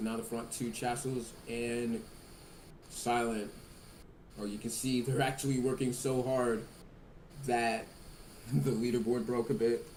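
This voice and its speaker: Over noticeable background noise and audible room echo, a man speaks at a fairly slow pace with fairly even intonation and long, frequent pauses. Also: medium pitch for a man. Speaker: sim racing commentator. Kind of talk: live commentary. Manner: loud.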